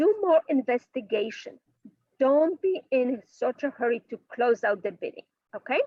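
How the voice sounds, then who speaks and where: A woman with a strong non-native accent and a high pitch, with very wide pitch swings, at a moderate pace. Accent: heavy foreign. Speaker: bridge teacher. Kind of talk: online class lecture.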